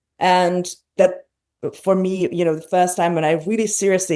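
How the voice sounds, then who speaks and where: With a Hungarian accent, a woman speaks at a medium pitch in a dark, mellow tone. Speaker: podcast host. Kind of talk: interview conversation.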